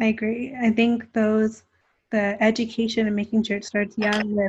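A woman's somewhat breathy voice in a Canadian accent, fairly high in pitch, with monotone, flat intonation and a moderate pace, against a quiet background. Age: 20s. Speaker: podcast host. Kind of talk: casual chat. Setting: video call.

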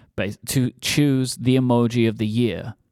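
A man talks in a medium pitch. The sound is dry and close with no echo, on a very clean recording against a silent background. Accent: British. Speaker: podcast co-host. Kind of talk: casual chat. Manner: talkative.

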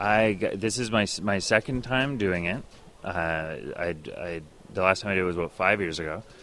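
Bright and sharp in tone, a man speaks with a very deep, low pitch and ordinary pitch variation. His pace is moderate. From Canada, partly Northwest Territories. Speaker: comedian. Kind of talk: interview.

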